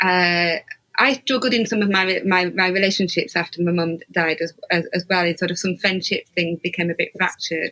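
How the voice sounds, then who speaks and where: At medium pitch, a woman speaks at a moderate pace with fairly even intonation and very even loudness. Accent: Yorkshire. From Yorkshire, northern England. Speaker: podcast host. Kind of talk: interview conversation. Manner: halting.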